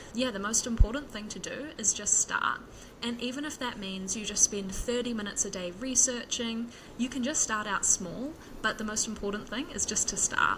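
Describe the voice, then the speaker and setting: Noticeable background noise accompanies a woman speaking at a fairly high pitch with a New Zealand accent. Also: ordinary pitch variation, big swings in loudness. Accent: Kiwi. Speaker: software developer, podcaster. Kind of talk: interview. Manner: fast.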